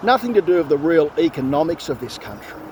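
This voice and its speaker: Over noticeable background noise, a man with an Australian accent speaks very fast in a fairly high, animated voice with lively intonation. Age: 50s. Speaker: political commentator vlogger. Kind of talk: opinion rant monologue. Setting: outdoors walking. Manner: animated, repetitive and halting.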